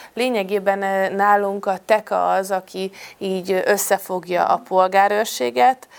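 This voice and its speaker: A woman with a medium pitch speaks at a very slow pace. Her pitch variation is ordinary. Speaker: deputy mayor. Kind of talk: panel discussion.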